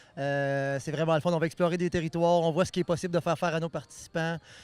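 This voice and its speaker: On a very clean recording with a silent background, a man with a fairly high pitch talks at a fairly quick pace. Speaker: event organizer. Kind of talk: on-site interview. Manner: hesitant, many fillers.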